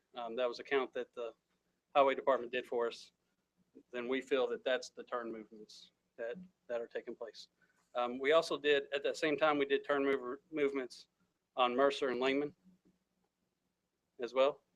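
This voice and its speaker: Quietly and at a moderate pace, a man speaks with fairly even intonation and long, frequent pauses, recorded with a dry, close sound with no echo. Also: fairly high pitch for a man. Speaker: city staff presenter. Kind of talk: presentation at council meeting. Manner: hesitant, many fillers.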